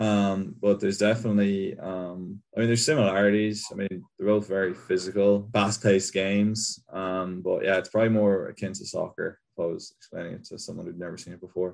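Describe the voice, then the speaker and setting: Fairly quick speech with hardly any pauses from a man with a Kerry accent, fairly low-pitched and flat in a monotone. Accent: Kerry Irish. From Ireland, County Kerry. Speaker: college football punter. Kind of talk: interview.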